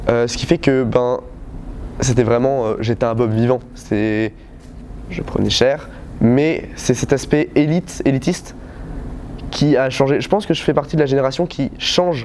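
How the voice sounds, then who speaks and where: Over noticeable background noise, a man speaks at a fairly slow pace in a medium pitch, with ordinary pitch variation and long, frequent pauses. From western France, Vienne. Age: 20s. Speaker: taekwondo coach. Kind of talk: interview testimony. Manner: halting, many hesitations.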